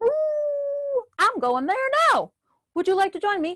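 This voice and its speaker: In a put-on character voice, the speaker sounds squeaky, with an extremely high pitch and a fairly slow pace. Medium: read story. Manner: hearty, friendly.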